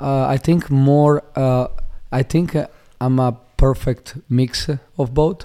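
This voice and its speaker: In an Italian accent, a man with a dark, mellow tone and fairly high pitch speaks at a very slow pace, with fairly even intonation and long, frequent pauses. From Italy, Monfalcone near Venice. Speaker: fighter and MMA coach. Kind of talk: casual interview. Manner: halting, many fillers.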